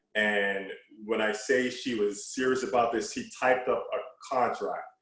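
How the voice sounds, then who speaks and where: Music plays in the background. A man speaks with an American accent. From New York City (Brooklyn, Queens). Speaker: former college basketball player. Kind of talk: casual chat.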